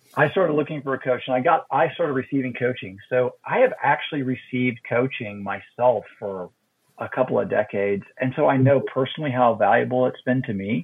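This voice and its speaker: A man's plain, everyday voice, medium in pitch, with ordinary pitch variation and a fairly quick pace. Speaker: ministry coach and minister. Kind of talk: casual interview conversation.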